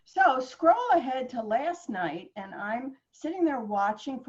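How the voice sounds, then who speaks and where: Somewhat breathy, this woman speaks with lively intonation. Her pace is moderate. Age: 70s. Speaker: author and writing guest. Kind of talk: interview conversation. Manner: animated.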